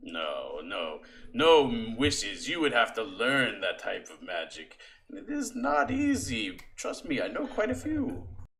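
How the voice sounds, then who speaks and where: A man in a put-on character voice at a fairly slow pace. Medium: actual play. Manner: measured, knowing.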